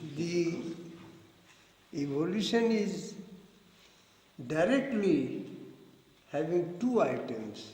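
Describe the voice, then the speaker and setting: A man with a high pitch and very wide pitch swings, very slow with long, frequent pauses, audible room echo and noticeable background noise. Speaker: spiritual philosophy teacher. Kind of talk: lecture with group discussion. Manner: slow, deliberate.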